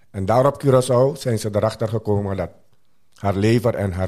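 A man speaks with a Surinamese accent in a dark, mellow tone at a moderate pace, with ordinary pitch variation. The recording is very clean, with a silent background. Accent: Surinamese Dutch. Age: 60s. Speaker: interview guest sharing life story. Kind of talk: personal testimony.

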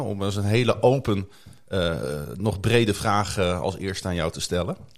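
The man's voice is fairly low in pitch. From Netherlands, Groningen. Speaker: church podcast host. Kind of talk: casual interview. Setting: studio.

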